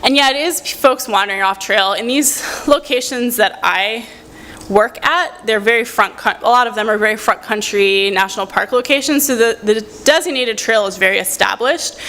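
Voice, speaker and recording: The speech has ordinary pitch variation, with noticeable background noise behind it. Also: woman, fairly high pitch for a woman. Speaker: researcher and university lecturer. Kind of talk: conference presentation; audience Q&A answer. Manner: fast.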